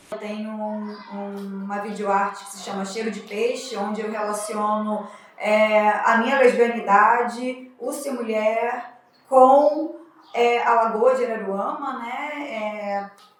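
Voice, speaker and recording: A fairly high female voice, very slow with fairly even intonation, amid noticeable background noise and audible room echo. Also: big swings in loudness. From Brazil, São Pedro da Aldeia, Rio de Janeiro state. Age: 30s. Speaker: artist. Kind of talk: interview testimony.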